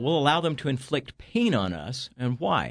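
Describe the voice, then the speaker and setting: The man has an American accent and a medium pitch. Vocal fry runs through his speech. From Northern California. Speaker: author and entrepreneur. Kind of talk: casual interview. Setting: studio.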